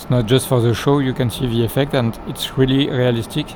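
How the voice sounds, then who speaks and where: A man's medium-pitched voice with a non-native accent and monotone, flat intonation over noticeable background noise. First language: not English. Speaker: flight simulator gameplay youtuber. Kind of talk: tutorial. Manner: halting, many fillers.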